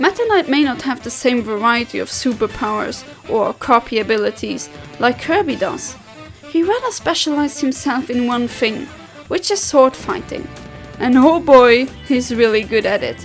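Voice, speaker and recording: With music in the background, a woman speaks in a high pitch with lively intonation. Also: moderate pace. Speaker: video game countdown narrator. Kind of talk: video countdown narration.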